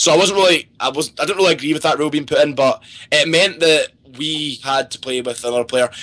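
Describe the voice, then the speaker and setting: Speaking at a very fast pace with a strong Scottish accent, a man has a fairly high pitch, ordinary pitch variation and a bright, sharp tone. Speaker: pro video game player. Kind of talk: podcast interview.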